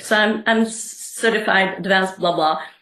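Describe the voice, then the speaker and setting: A woman with a medium pitch talks at a moderate pace with ordinary pitch variation in an unremarkable speaking voice. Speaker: coach and therapist. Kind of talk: interview.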